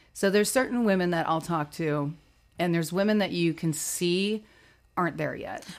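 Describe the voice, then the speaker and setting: Using a plain, everyday voice, a woman talks fairly low in pitch and varies it in an ordinary way. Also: moderate pace, very clean recording, silent background. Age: 40s. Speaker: plus-size model and entrepreneur. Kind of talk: interview.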